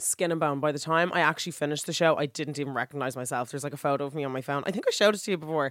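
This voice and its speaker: Speaking very fast with hardly any pauses, a woman with an Irish accent has a very deep, low pitch and ordinary pitch variation, recorded very cleanly against a silent background. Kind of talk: casual chat. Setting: recording studio.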